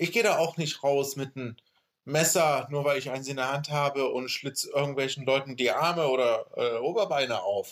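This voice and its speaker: This man has a plain, everyday voice, pitched fairly high. He talks at a moderate pace with ordinary pitch variation. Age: 30s. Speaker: podcast host. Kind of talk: casual chat.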